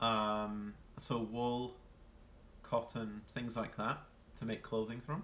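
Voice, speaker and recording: In a Yorkshire accent, a man speaks at a fairly low pitch with flat, monotone intonation. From northern England, Yorkshire. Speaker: streamer. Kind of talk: casual live-stream chat reading viewer comments. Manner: hesitant, many fillers.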